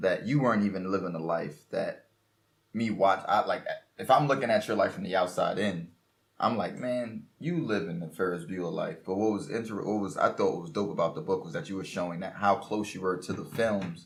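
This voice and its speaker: In a normal speaking voice, a man with an American accent talks at a fairly quick pace and fairly low pitch, his intonation lively. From Brooklyn, New York. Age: 20s. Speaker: podcast host. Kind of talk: casual interview.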